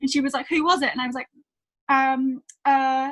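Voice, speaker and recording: High, bright, sharp female voice in a Northern Irish accent. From Northern Ireland, small town. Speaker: singer-songwriter. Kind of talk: interview storytelling.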